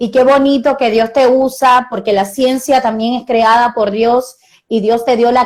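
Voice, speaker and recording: A woman speaks with monotone, flat intonation. Her pace is moderate. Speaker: pastor. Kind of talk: sermon.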